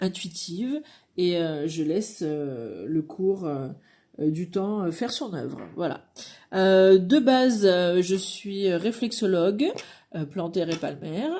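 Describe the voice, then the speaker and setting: In a very clean recording with a silent background, a woman with a dark, mellow tone and medium pitch speaks very slowly with lively intonation. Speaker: card reader and reflexologist. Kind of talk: channel introduction. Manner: halting, many hesitations.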